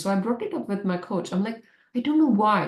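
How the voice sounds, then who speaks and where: Lively in intonation and fairly quick in pace, a woman speaks in a plain, everyday voice. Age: 30s. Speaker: doctor and life coach. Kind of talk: casual chat.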